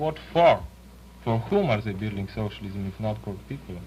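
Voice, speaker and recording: Noticeable background noise sits under the recording. The man speaks at a moderate pace. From Yugoslavia. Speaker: panel discussion participant. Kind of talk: panel discussion.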